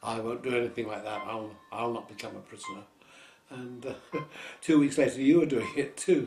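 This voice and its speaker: With music in the background, a man in a London accent talks at a fairly quick pace. His medium pitch shows ordinary pitch variation, and his loudness swings widely. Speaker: variety performer. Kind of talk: interview answer. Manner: casual, anecdotal.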